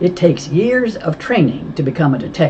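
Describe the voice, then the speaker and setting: Putting on a robotic character voice, a man speaks at a high pitch and fairly quick pace with very wide pitch swings, amid clear background noise. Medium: read story. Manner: terse, cool.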